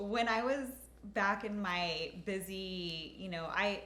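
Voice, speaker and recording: Ordinary pitch variation against audible room echo. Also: woman. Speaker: nurse injector and co-host. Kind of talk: casual chat. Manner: halting.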